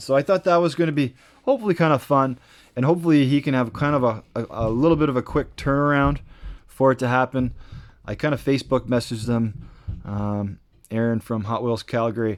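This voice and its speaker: In a very clean recording with a silent background, a man talks fairly quickly at medium pitch with ordinary pitch variation. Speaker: toy car racing YouTuber. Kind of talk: casual video outro. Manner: rambling with fillers and repeats.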